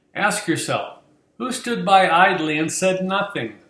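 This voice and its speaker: Audible room echo surrounds a man speaking at a fairly slow pace with lively intonation. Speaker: voice actor. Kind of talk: mock-serious educational presentation. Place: home room. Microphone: webcam.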